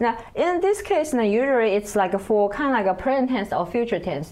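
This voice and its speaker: Speaking with a Chinese accent, a woman uses a medium pitch and very wide pitch swings at a moderate pace. Noticeable background noise runs underneath. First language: Mandarin Chinese. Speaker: Chinese language teacher. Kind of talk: language lesson. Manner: hesitant, many fillers.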